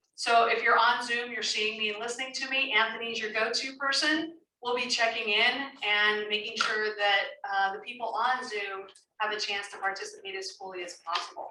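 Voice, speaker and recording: A woman speaks at a fairly high pitch in a bright, sharp tone with fairly even intonation. Her pace is moderate, and there is audible room echo. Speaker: professional facilitator. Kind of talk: public meeting facilitation. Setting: community meeting room, recorded on Zoom.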